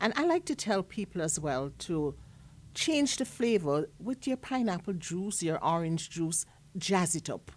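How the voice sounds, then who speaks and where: A woman with a Jamaican accent at a medium pitch, with very wide pitch swings and a fairly slow pace. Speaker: chef and food entrepreneur. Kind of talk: casual interview.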